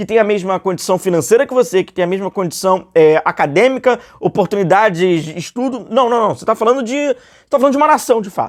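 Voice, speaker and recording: A man's high-pitched voice at a fairly quick pace, with a dry, close sound and no echo. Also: very clean recording, silent background. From Rio de Janeiro, Brazil. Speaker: football YouTuber. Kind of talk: casual commentary monologue. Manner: conversational, many fillers.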